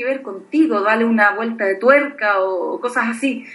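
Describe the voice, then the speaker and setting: Here a woman is talking. The movement of her pitch is ordinary. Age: 30s. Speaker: blogger. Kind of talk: casual chat.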